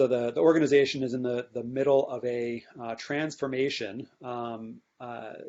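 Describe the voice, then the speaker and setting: A man's medium-pitched voice with fairly even intonation and big swings in loudness. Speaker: UX designer presenting a workshop. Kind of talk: workshop presentation. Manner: fast; informal, many filler words.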